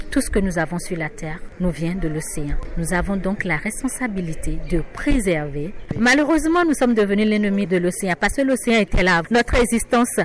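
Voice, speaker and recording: Noticeable background noise runs beneath a woman speaking at a medium pitch and moderate pace, with very wide pitch swings. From Benin. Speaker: journalist, editor-in-chief. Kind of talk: interview soundbite.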